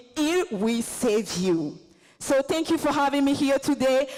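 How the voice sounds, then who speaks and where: Noticeable background noise is heard. A woman speaks at a high pitch. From Côte d'Ivoire. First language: Baoulé. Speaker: visiting fellow and performing artist. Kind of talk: convention presentation.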